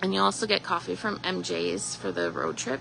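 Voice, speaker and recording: A woman talks with a Canadian Prairie accent at a moderate pace. Noticeable background noise is present. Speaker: shop owner. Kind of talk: live store tour announcements. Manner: casual with fillers.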